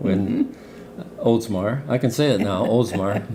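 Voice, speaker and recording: Noticeable background noise sits behind a man talking at a very slow pace in a medium pitch. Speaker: interviewer. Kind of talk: casual interview question.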